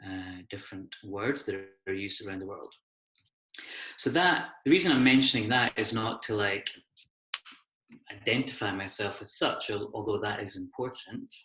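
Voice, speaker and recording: With a Hebridean accent and a fairly low pitch, a man speaks with long, frequent pauses and big swings in loudness, and audible room echo surrounds him. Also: ordinary pitch variation, moderate pace. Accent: Hebridean Scottish. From Scotland, Isle of Skye (Hebrides). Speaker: associate professor, design researcher. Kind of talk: lecture.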